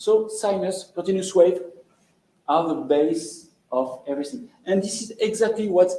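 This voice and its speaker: A man with a French accent speaks at a fairly slow pace in a high-pitched voice, his intonation lively and audible echo filling the room. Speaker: lecturer. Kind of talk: lecture. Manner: halting.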